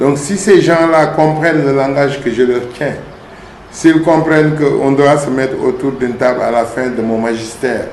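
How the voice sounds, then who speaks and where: A man's fairly high voice at a fairly slow pace, with ordinary pitch variation, audible room echo and noticeable background noise. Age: 60s. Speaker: town mayor, politician. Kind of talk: interview.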